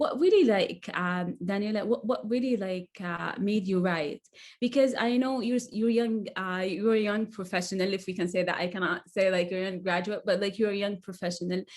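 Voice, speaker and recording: A woman with an Arabic accent speaks with hardly any pauses against a quiet background. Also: medium pitch for a woman, ordinary pitch variation, moderate pace. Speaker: author. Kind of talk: casual chat. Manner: halting, many fillers and repetitions.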